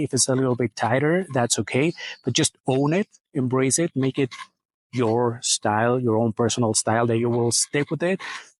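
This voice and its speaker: With a non-native accent, a man speaks at a moderate pace and fairly high pitch, in a dry, close sound with no echo and a quiet background. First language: not English. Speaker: menswear video creator. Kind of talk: casual Q&A monologue. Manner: casual, hesitant with fillers.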